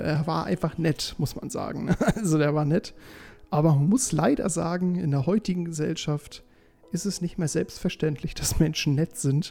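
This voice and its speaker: Over music in the background, a man speaks in a high pitch with ordinary pitch variation. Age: 20s. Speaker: podcast host. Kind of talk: casual monologue.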